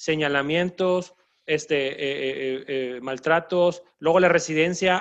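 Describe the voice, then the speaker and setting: The man's pitch sits fairly high. His intonation is monotone and flat. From Mexico, northern border region. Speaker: doctor and podcast host. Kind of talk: casual chat.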